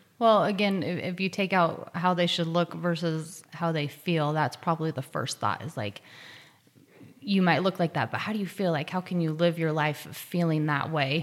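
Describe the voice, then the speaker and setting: Speaking at a moderate pace, a woman with fairly low pitch uses ordinary pitch variation. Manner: soft-spoken.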